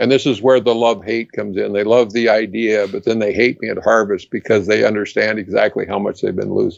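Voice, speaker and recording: A man's fairly low, monotone voice at a very fast pace, with hardly any pauses. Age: 70s. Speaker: retired entomology professor. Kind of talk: casual interview. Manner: halting, repeats words.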